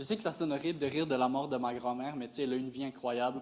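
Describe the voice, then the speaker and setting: A man speaks with a Quebec accent. His pitch is medium. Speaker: stand-up comedian. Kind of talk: stand-up comedy set. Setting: live stage before an audience. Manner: monotone.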